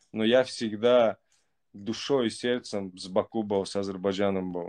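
Against a quiet background, a man with a fairly low pitch speaks at a fairly slow pace in a monotone, flat intonation. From Baku, Azerbaijan; Azerbaijan. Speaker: caller. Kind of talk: casual chat. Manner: halting. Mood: earnest, warm, affirming. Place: home room. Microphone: video call.

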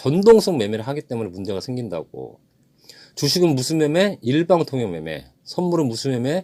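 A man's voice has a dark, mellow tone at a fairly high pitch. His pitch swings very wide. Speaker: trading instructor. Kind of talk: lecture.

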